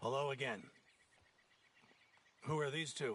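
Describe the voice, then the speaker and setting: Using a raspy put-on character voice, a man talks at a moderate pace with a medium pitch. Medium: video game. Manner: pompous, condescending.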